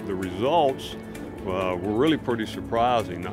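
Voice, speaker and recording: The speaker talks at a moderate pace with ordinary pitch variation while clear music plays in the background. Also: man, dry sound with no echo. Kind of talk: interview answer. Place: waterside.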